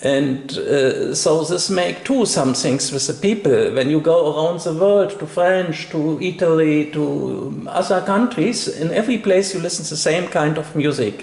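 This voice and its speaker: A fairly slow-paced man with a non-native accent and fairly high pitch, hardly any pauses, over noticeable background noise. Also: ordinary pitch variation. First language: not English. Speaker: interviewer. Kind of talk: interview. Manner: halting.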